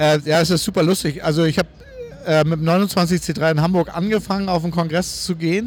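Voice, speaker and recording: Noticeable background noise sits behind a man with a high voice. He keeps a moderate pace and a fairly even intonation. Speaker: podcast host, wheelchair user. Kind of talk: casual walking interview. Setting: convention hall. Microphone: distorted recording.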